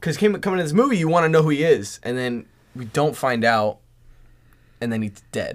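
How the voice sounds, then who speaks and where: On a very clean recording with a silent background, a man with an American accent speaks at a fairly high pitch with very wide pitch swings. His pace is fairly quick, though marked by long, frequent pauses. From Southern California. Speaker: film fan guest. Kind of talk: casual chat.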